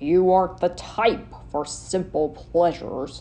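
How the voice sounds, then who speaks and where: A put-on character voice at a middle pitch and fairly slow pace, over light background noise. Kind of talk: audio drama narration.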